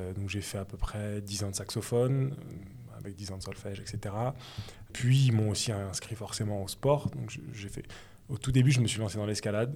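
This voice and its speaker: A man's dark, mellow, somewhat breathy voice at fairly low pitch, with ordinary pitch variation and long, frequent pauses. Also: moderate pace, big swings in loudness. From Paris suburbs, Seine-et-Marne. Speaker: former rugby player turned journalist. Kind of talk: interview. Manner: halting.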